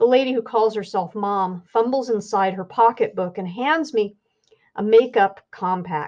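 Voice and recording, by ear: A quiet background surrounds someone reading aloud in a natural voice.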